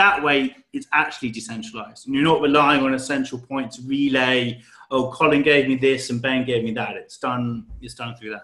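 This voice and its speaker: With a British accent, a man speaks at a moderate pace with hardly any pauses, his medium pitch and fairly even intonation carrying a bright, sharp tone amid big swings in loudness. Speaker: crypto project team member. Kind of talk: interview. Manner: casual.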